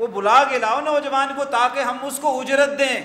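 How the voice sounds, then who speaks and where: A man's voice is raised and projected at an extremely high pitch. Noticeable background noise sits behind it. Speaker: Islamic scholar giving a sermon. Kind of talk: religious sermon (khutba-style lecture).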